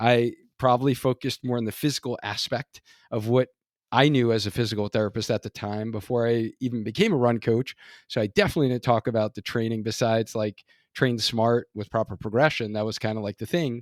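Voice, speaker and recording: In a New York accent, the speaker talks at a fairly quick pace with fairly even intonation, in a dry, close sound with no echo and a very clean recording on a silent background. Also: man, medium pitch for a man. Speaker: physical therapist and run coach, podcast host. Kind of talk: casual interview chat.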